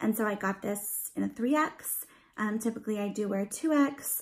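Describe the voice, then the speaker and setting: At a fairly slow pace, a woman talks in a fairly high pitch, her voice somewhat breathy. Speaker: beauty and lifestyle vlogger. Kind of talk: haul video, casual chat to camera. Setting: at home, dad in the next room. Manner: casual, filler-heavy; quieter than usual.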